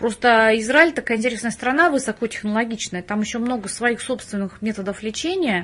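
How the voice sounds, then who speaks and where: A woman's fairly high-pitched voice at a fairly quick pace with hardly any pauses and ordinary pitch variation, over noticeable background noise. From Russia, Penza. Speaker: biology professor, microbiologist. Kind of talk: interview.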